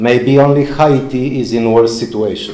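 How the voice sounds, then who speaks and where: Amid audible room echo, a man talks at a fairly slow pace with a medium pitch and ordinary pitch variation. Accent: Polish. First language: Polish. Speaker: lecturer, former diplomat and journalist. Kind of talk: lecture. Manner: halting.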